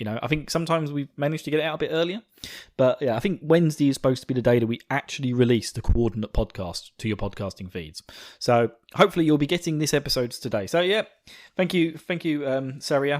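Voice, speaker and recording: Very fast and with lively intonation, a man with a fairly high pitch speaks in a slight Essex accent. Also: very clean recording, silent background. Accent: slight Essex twang. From England, Essex. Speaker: podcast host. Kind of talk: casual chat. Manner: halting, many fillers.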